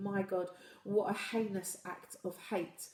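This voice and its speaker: The woman has a medium pitch. Noticeable background noise sits behind her voice. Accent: British. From UK. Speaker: livestream host. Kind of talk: live stream chat reading viewer comments. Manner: halting with repetitions.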